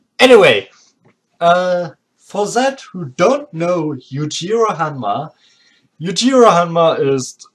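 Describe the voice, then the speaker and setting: In a strong German accent, the speaker talks at a very slow pace with long, frequent pauses. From Germany. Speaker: anime video creator. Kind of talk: casual commentary monologue. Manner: halting, many fillers.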